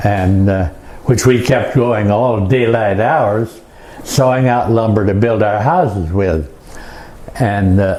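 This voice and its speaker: Over noticeable background noise, a man with an American accent speaks at a fairly slow pace, his intonation lively and his loudness very even. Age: 80s+. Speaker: Monteverde founding settler, war veteran. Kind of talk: presentation to an audience, historical talk.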